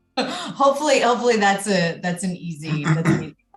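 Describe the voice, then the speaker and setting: A woman with an American accent speaks at medium pitch with lively intonation over music in the background. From United States. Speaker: mental fitness coach. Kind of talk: podcast interview. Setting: podcast recording.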